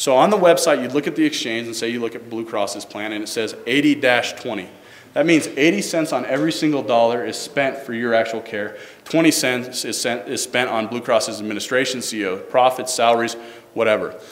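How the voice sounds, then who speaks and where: A man with medium pitch and ordinary pitch variation speaks at a fairly quick pace. Audible room echo and noticeable background noise surround him. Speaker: government staffer presenting health reform. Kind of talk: public presentation. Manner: fast.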